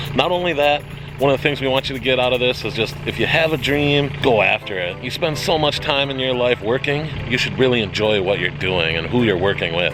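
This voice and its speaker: A man with an American accent speaks fairly quickly at a medium pitch in an upbeat, animated tone. Music plays in the background. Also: lively intonation. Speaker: pond and waterfall installer. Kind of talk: casual vlog talk to camera.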